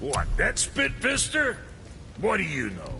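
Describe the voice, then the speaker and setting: Over clear background noise, a man uses a gruff, put-on character voice at a fairly slow pace. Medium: video game. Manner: gruff, crude, sarcastic.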